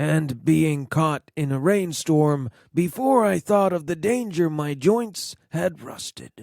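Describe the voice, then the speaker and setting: A man speaks in a put-on character voice, fairly high in pitch, with lively intonation at a fairly slow pace. The sound is dry and close, with no echo. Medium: read story.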